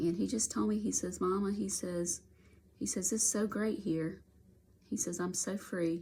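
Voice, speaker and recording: A woman's medium-pitched, dark and mellow voice with vocal fry, ordinary pitch variation and a moderate pace. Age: 60s. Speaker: coloring video creator sharing grief story. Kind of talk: casual personal testimony while coloring. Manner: halting, repeating words.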